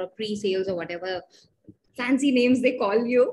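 A woman with a fairly high pitch sounds somewhat breathy over light background noise. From India. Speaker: podcast host, tech worker. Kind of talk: interview. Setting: video call. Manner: halting, frequent fillers. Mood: friendly, animated. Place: home room. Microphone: webcam.

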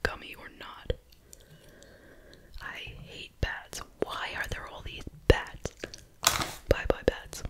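Whispering softly and very slowly with a playful tone, the speaker is heard over loud background noise. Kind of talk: casual vlog chat. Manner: soft whisper, playful dislike.

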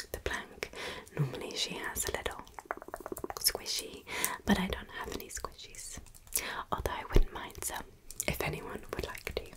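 A woman talks at a moderate pace with long, frequent pauses. Loud background noise is present. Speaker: ASMR creator. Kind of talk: soft casual chat to viewers.

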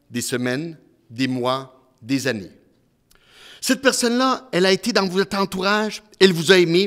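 Against a quiet background, a man with a high pitch speaks at a very slow pace. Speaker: humorist, magician and presenter giving a talk on grief; presenter. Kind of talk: live talk with magic demonstration. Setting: stage with live and online audience. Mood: warm, consoling. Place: hall. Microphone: handheld.

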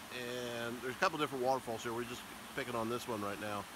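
There's noticeable background noise behind a man with fairly even intonation. The sound is dry with no echo. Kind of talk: casual vlog chat. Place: waterside. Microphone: phone near.

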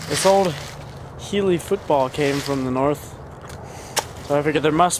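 A man talks at a fairly quick pace with ordinary pitch variation. The sound is dry with no echo, though noticeable background noise is present. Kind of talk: casual vlog chat. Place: forest. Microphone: phone near.

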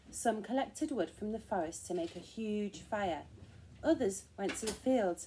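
The speaker uses an unforced reading voice. Nothing in the delivery is pushed.

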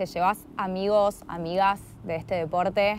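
A woman speaks with fairly even intonation in a dry sound with no echo. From Argentina. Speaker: interviewer. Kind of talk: interview. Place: garden.

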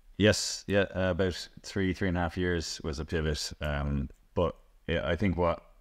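Against a quiet background, a man speaks with fairly even intonation. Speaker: interviewee. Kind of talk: interview answer. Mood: relaxed, friendly. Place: home room.

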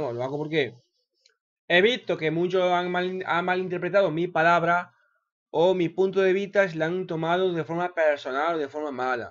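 A man speaks at a moderate pace in a high pitch with ordinary pitch variation. The background is quiet. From Spain. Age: 30s. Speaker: gaming YouTuber. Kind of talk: unedited video monologue. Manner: hesitant, repeats words. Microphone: webcam.

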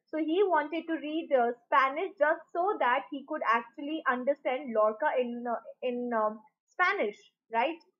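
A woman speaks at a high pitch and a fairly slow pace. The background is quiet. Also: ordinary pitch variation. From India. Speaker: online teacher. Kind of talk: lecture. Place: home room. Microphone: webcam.

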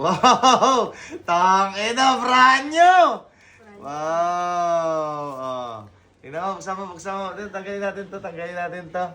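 Raising and projecting his high, bright, sharp voice, a man speaks at a very slow pace with lively intonation and big swings in loudness. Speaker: vlogger. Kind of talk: prank vlog. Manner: animated.

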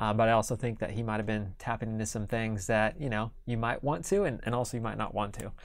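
With a Midwestern American accent, a man talks very fast at a medium pitch. He leaves hardly any pauses. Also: fairly even intonation, very clean recording, silent background. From Kansas. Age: 30s. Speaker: entrepreneur. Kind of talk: interview. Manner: halting.

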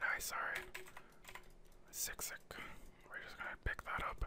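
Someone whispers in a relaxed tone at a moderate pace. Noticeable background noise is present. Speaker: gaming ASMR commentator. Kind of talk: gameplay commentary. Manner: whispered, relaxed.

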